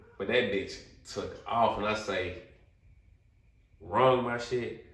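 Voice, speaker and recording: The delivery is animated, with audible room echo. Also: man. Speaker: podcast guest telling life stories. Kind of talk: casual storytelling chat.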